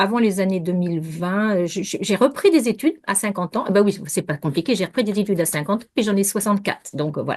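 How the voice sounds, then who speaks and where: A woman at medium pitch, talking very fast, with ordinary pitch variation. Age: 60s. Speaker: naturopath. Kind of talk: interview. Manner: halting.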